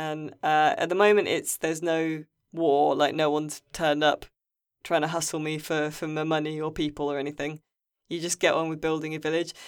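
A woman with an English accent speaks in a very deep, low pitch and monotone, flat intonation, recorded very cleanly with a silent background. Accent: English accent, noticeable among Irish crowd. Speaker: games journalist and podcast host. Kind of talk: casual chat.

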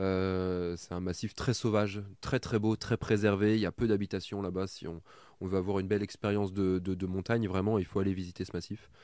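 A man speaks at a fairly quick pace in a fairly low, dark, mellow voice with monotone, flat intonation, on a very clean recording with a silent background. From Burgundy, France. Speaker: adventurer and heritage content creator. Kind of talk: interview. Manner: halting, frequent repetitions.

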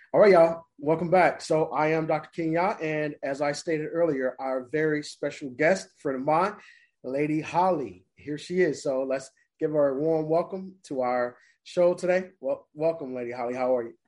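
A moderate pace against a quiet background. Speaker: podcast host. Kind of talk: casual interview.

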